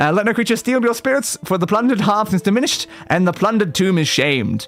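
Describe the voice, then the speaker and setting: A man's high voice, very fast and with lively intonation, amid noticeable background noise. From England. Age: 20s. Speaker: VTuber gaming streamer. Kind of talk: live gaming stream chat; reading game text aloud.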